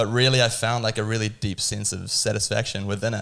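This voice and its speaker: A man with a New Zealand accent talks at a very fast pace, his fairly low pitch edged with vocal fry, on a very clean recording with a silent background. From New Zealand (Tauranga), Dutch-born. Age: 20s. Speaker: cafe owner and barista. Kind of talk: casual podcast interview.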